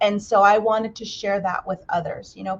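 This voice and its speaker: In an American accent, a woman with a normal speaking voice talks at a medium pitch and a moderate pace. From Navajo Nation, Arizona. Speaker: nonprofit executive and language teacher. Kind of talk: livestreamed interview.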